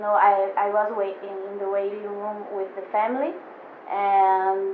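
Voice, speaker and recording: A woman speaks at a medium pitch in a Portuguese accent, with noticeable background noise and audible room echo. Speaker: photographer. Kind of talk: casual chat. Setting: studio. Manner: halting, many fillers. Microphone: poor audio.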